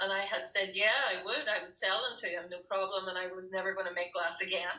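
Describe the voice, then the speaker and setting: Against noticeable background noise, a woman with a Derry accent speaks very fast at a medium pitch, her intonation fairly even. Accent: Northern Irish (Derry). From Northern Ireland, Derry. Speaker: glassblower and breastfeeding counsellor. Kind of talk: interview conversation.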